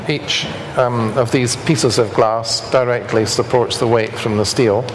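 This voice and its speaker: A man in a Scottish accent speaks at a moderate pace, with noticeable background noise and audible room echo. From Scotland. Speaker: structural engineer. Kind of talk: lecture.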